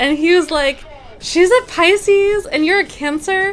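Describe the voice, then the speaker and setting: A woman speaks with music in the background. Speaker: meditation instructor. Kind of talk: casual live stream chat. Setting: live stream with chat. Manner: soft-spoken.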